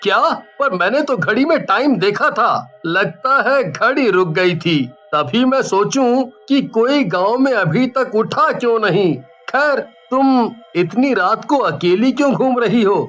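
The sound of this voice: A cartoonish character voice that sounds female, fairly high in pitch, at a fairly slow pace.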